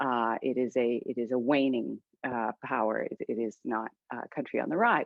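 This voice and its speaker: A woman speaks at a moderate pace. She has a slight Canadian accent. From Canada. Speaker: author and political scientist. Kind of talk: book discussion interview. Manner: halting, many fillers.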